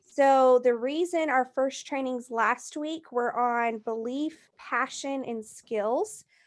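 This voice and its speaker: A woman speaks at a very slow pace with hardly any pauses, her high pitch showing ordinary variation. The recording is very clean, with a silent background. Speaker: team trainer. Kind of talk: training session.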